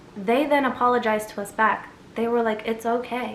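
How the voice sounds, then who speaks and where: A woman's fairly high voice with an American accent and audible room echo. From USA, Egyptian family. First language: Arabic. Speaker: storyteller vlogger. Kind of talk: casual storytime.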